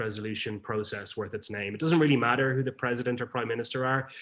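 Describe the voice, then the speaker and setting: At a very fast pace, a man speaks at a medium pitch. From Ireland. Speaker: peacebuilding network leader. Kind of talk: presentation.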